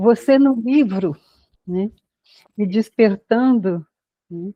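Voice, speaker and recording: A somewhat breathy woman with a fairly high pitch speaks at a very slow pace. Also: ordinary pitch variation. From Brazil. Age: 80s+. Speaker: educator, human development specialist. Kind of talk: podcast interview.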